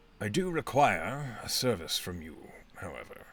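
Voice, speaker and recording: Using a put-on character voice, a man speaks at a moderate pace with very wide pitch swings. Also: medium pitch for a man. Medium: actual play. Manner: measured, pondering, scholarly.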